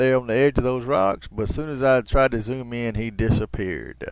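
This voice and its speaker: A man talks with an American accent. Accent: heavy Southern twang at times. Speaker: video blogger. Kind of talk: walking tour commentary. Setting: outdoors at a riverside park. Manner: casual, conversational.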